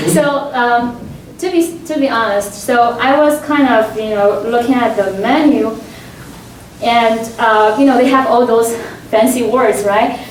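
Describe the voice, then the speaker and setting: The speaker talks at a fairly slow pace with a non-native accent. Room echo is audible, and background noise is noticeable. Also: woman, high pitch for a woman, ordinary pitch variation. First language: not English. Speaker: professor. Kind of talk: panel discussion. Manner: hesitant, many fillers.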